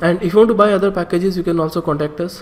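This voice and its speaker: A man's fairly even intonation comes through noticeable background noise. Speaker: online exam-prep instructor. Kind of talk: tutorial.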